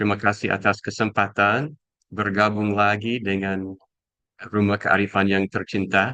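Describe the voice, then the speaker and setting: A man with a non-native accent, a bright, sharp tone, a fairly low pitch, monotone, flat intonation and a fairly slow pace. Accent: foreign accent in Indonesian. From USA. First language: English (speaking Indonesian). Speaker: educator and speaker. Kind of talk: talk. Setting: video call. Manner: halting.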